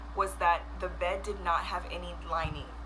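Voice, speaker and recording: A soft-spoken woman talks at a very slow pace. The recording carries noticeable background noise and audible room echo. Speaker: vlogger. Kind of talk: storytelling.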